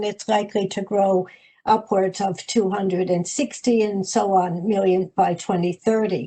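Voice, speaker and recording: Talking at a fairly slow pace, a woman with an Irish accent keeps her intonation fairly even. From United States. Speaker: higher education policy expert. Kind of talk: webinar presentation. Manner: halting, frequent fillers.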